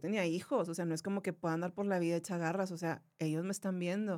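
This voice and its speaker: On a very clean recording with a silent background, a woman of medium pitch talks at a very fast pace with fairly even intonation. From Monterrey, northern Mexico. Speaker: YouTuber and radio announcer, cancer survivor. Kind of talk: casual interview chat.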